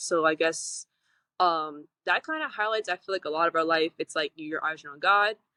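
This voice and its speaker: The woman speaks with a fairly low pitch. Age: 20s. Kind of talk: interview. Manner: fast.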